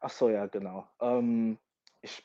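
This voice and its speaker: Over a quiet background, a man with a dark, mellow tone speaks at medium pitch, the sound dry and close with no echo. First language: English (bilingual, American household) (speaking German). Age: 20s. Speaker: American football player. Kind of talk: interview.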